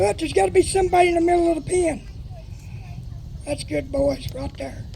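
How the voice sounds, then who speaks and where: Someone speaks loudly in a Texas accent. Background noise is noticeable. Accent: Texas Southern drawl. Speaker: horse trainer. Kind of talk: live demonstration with sermon. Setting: PA system at outdoor horse pen.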